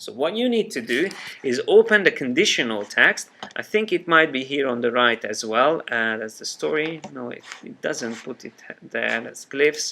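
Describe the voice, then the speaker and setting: In a Hungarian accent, the voice swings very widely in pitch over light background noise. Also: man, fairly high pitch for a man, moderate pace, big swings in loudness. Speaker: software trainer. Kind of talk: live software tutorial class. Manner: halting, many fillers. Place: classroom.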